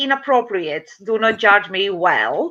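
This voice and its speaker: Speaking at a fairly slow pace with a Latvian accent, a woman raises and projects her bright, sharp voice through very wide pitch swings. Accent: Latvian accent, noticeable. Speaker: domestic violence advocate and community worker. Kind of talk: interview testimony. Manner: halting non-native English with fillers.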